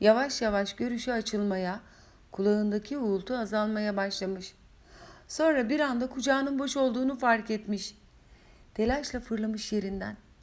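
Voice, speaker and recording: The speaker is a woman with a fairly high pitch. She talks at a moderate pace with ordinary pitch variation. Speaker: author reading her own novel. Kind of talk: audiobook reading. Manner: emotional, occasionally faltering.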